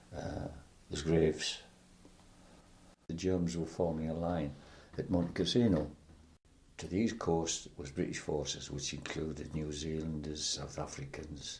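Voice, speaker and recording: A man with a very deep, low pitch and a somewhat breathy voice speaks at a moderate pace, leaving long, frequent pauses. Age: 80s+. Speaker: war veteran. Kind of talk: interview answer.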